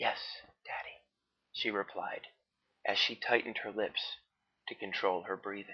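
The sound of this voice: A quiet background beneath an unforced reading voice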